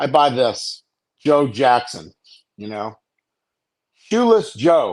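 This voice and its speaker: Pitched fairly high, this man's voice comes through clearly. He talks at a fairly slow pace. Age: 60s. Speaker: caller. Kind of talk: casual rant on a live call-in show. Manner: animated, profane.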